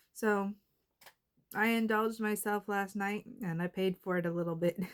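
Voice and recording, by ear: Delivered at a moderate pace, the speech has a clear, smooth tone and fairly even intonation. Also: woman, medium pitch for a woman.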